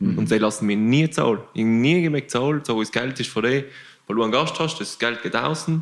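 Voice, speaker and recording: A man with a plain, everyday voice at a medium pitch and moderate pace. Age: 20s. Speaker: long-distance cyclist. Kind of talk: casual chat.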